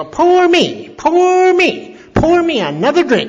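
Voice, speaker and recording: In a put-on character voice, the speaker goes at a fairly slow pace with an extremely high, shrill pitch. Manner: demanding a drink.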